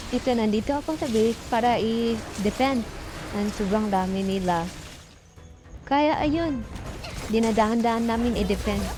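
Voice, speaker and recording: Moderate pace with ordinary pitch variation, long and frequent pauses, and noticeable background noise. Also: woman, fairly high pitch for a woman. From Philippines. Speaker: mobile game player. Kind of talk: gameplay commentary voice-over.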